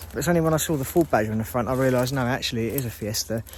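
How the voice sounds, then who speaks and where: A man speaks at a very fast pace in an English accent. His pitch shows ordinary variation. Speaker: urban explorer, channel host. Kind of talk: casual talk to camera.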